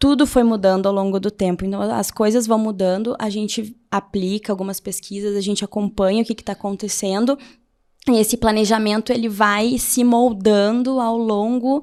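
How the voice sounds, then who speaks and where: A woman speaks with a Porto Alegre accent at a fairly high pitch. Her pace is moderate and her intonation fairly even. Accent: gaúcho Porto Alegre accent, noticeable. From southern Brazil, Porto Alegre. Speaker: HR leader, pedagogue. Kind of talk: interview conversation. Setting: webcast interview.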